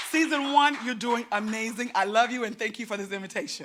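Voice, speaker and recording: A woman speaks in an animated tone at a fairly quick pace, her voice raised and projected, with music playing in the background. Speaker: comedian. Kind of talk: stand-up. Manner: fast.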